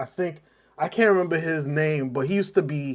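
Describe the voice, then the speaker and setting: A man has an ordinary speaking voice with fairly high pitch. He talks at a fairly quick pace with lively intonation. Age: 40s. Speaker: livestream host. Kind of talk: casual chat. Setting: home basement.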